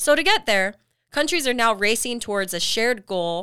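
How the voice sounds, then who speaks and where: Here a woman with a Western US accent has a bright, sharp tone. She keeps a moderate pace in a very clean recording with a silent background. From Utah, Salt Lake area. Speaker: podcast host. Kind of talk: scripted narration.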